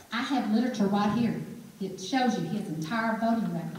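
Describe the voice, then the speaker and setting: A woman with an Alabama accent and a fairly high pitch speaks fairly quickly, with audible room echo and noticeable background noise. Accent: Southern (Alabama), noticeable. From Alabama, Birmingham. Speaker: political candidate. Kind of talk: political forum speech and Q&A. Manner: animated.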